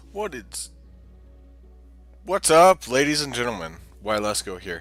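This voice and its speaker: Against background music, a man of medium pitch talks at a fairly slow pace, his voice making very wide pitch swings and big swings in loudness. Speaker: gaming let's play host. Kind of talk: casual gameplay commentary.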